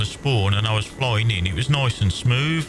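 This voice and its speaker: With a Birmingham accent, a man speaks at medium pitch with lively intonation against noticeable background noise. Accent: Brummie. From English Midlands, Worcestershire. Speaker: gaming streamer. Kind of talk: casual chat while gaming. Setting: live stream.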